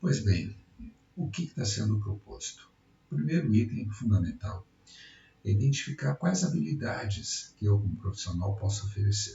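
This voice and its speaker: The voice moves at a moderate pace with very wide pitch swings, music playing in the background. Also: man, fairly low pitch for a man. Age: 60s. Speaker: retired electrical engineer. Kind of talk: project pitch presentation.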